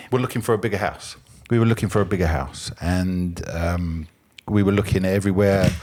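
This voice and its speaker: This man speaks with a southern English accent at a fairly quick pace, his pitch very deep and low with ordinary variation. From England, London area. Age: 50s. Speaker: podcast guest, former ambulance driver. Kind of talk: casual chat.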